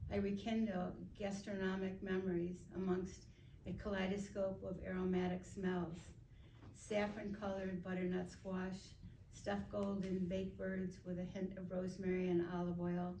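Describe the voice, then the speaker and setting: Quiet and monotone with flat intonation, a woman speaks at medium pitch and a moderate pace over noticeable background noise. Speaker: poet reading her own work at a writing graduation. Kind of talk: poetry reading of her own work. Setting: live reading into a microphone in front of an audience.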